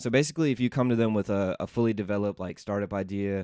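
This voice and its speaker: A man with an American accent, fairly low in pitch, talking very fast with ordinary pitch variation, dry close sound with no echo and a quiet background. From US South, Memphis, Tennessee. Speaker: tech startup founder. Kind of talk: interview. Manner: casual, many fillers.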